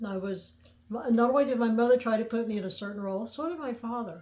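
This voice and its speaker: Speaking in a Midwestern American accent, a woman has a fairly high pitch and a dark, mellow tone. Her pitch variation is ordinary. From US Midwest, central Illinois (near Mattoon). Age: 70s. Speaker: podcaster telling her life story. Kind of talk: personal storytelling monologue. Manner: conversational, with frequent hesitations and fillers.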